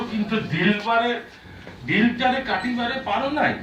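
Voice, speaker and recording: With noticeable background noise around him, a man speaks in a high-pitched, raised and projected voice. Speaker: poet. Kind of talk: poetry reading. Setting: live book launch event.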